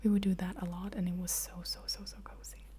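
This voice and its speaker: A soft-spoken woman talks at a moderate pace. Noticeable background noise can be heard. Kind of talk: ASMR soft-spoken question answering.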